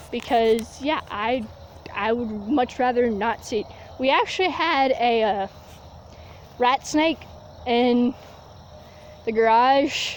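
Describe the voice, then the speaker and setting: Over noticeable background noise, a woman with a high-pitched voice speaks at a very slow pace, leaving long, frequent pauses. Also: ordinary pitch variation. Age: young. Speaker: vlogger. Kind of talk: casual vlog monologue. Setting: outdoors, walking barefoot in grass.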